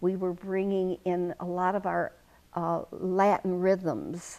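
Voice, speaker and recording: Over a quiet background, a woman speaks at a medium pitch. Her delivery is very slow, with a dark, mellow tone. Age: 80s+. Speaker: retired-age dance instructor. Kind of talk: interview. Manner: halting.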